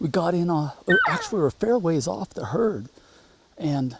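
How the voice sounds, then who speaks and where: A man at high pitch with lively intonation, over noticeable background noise. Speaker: hunting guide and show host. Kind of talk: outdoor hunting commentary. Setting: outdoors.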